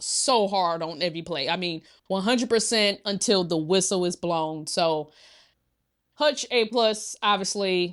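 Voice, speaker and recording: This is an ordinary speaking voice with ordinary pitch variation. It moves at a fairly slow pace against a quiet background. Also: woman. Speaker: sports podcast co-host. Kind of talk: casual chat.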